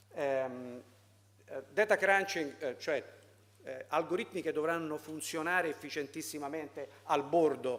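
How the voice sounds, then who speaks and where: A man's voice with lively intonation at a fairly slow pace. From Italy. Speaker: foundation president. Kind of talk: conference talk. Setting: seminar with audience. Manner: halting, many fillers.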